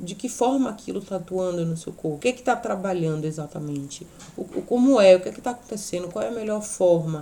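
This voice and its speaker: A woman talks at a very fast pace with lively intonation. Her tone is dark and mellow. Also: medium pitch for a woman. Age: 30s. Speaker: podcast host and teacher. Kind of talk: casual chat. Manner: not loud, no shouting.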